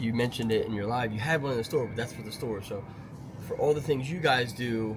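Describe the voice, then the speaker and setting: A man talking at a very fast pace with ordinary pitch variation, with audible room echo and noticeable background noise. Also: medium pitch for a man. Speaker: toy store owner. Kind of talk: casual chat.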